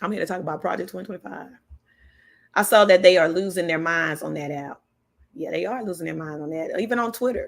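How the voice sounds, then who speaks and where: Speaking very fast with an animated tone, this voice shows ordinary pitch variation, big swings in loudness and some vocal fry. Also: woman, fairly low pitch for a woman. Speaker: political livestream host. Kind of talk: casual livestream commentary.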